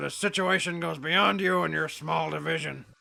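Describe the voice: This man uses a cartoonish character voice pitched high. He talks at a moderate pace.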